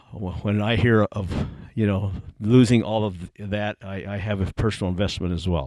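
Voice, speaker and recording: This man's fairly low pitch and fairly even intonation come at a moderate pace. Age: 60s. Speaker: ministry consultant and former interim pastor. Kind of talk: congregational Q&A meeting. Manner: halting, many fillers.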